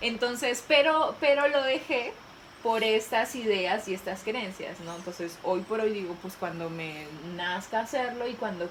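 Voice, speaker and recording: At a fairly slow pace and fairly high in pitch, a woman speaks over noticeable background noise. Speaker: youth personal growth video creator. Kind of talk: casual conversation.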